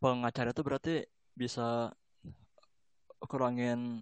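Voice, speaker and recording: Flat and monotone, a man speaks at medium pitch. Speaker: podcast host. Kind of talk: casual interview. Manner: relaxed, conversational, friendly.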